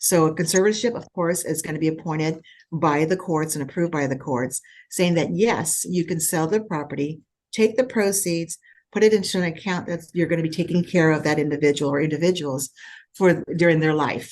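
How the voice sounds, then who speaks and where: A woman's fairly low voice with ordinary pitch variation at a fairly quick pace, over a quiet background. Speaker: escrow officer. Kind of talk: webinar Q&A. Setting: video call. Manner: fast.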